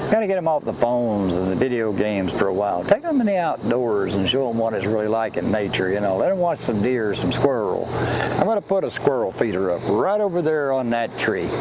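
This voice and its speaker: Over noticeable background noise, a man with an American accent speaks at a fairly quick pace in a relaxed tone with very wide pitch swings. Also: medium pitch for a man. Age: 70s. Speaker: outdoors vlogger. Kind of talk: casual vlog talk. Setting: outdoors in woods. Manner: relaxed, folksy.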